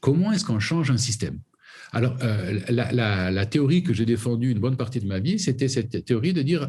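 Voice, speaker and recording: This man's pitch is medium, but it swings very widely. He sounds somewhat breathy and keeps a moderate pace. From southern France (Camargue). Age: 60s. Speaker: foundation president and conservationist. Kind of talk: interview. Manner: halting, many repetitions.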